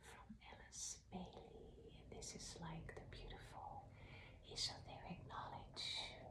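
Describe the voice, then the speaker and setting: Whispering, a woman speaks at a very slow pace. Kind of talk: casual introduction to an ASMR reading. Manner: soft, whispered.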